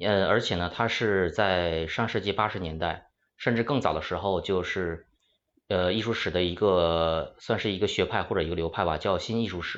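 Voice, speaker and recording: With a very deep, low pitch, a man speaks at a moderate pace using fairly even intonation. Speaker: art historian. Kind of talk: panel discussion.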